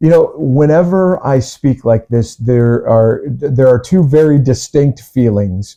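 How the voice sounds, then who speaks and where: A medium-pitched man with an American accent speaks at a fairly slow pace, with ordinary pitch variation and hardly any pauses. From US Midwest. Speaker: evangelist pastor. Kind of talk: interview. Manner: hesitant, many fillers; deliberately articulate.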